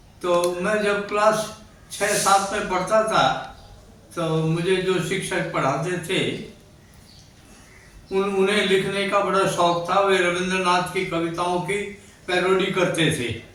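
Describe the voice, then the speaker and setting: Amid noticeable background noise and audible room echo, a man with a high voice speaks in fairly even intonation, leaving long, frequent pauses. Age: 80s+. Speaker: writer and social worker. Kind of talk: interview.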